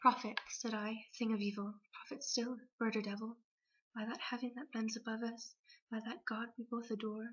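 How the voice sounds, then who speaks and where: A soft-spoken woman at a fairly high pitch and a moderate pace. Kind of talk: poetry reading.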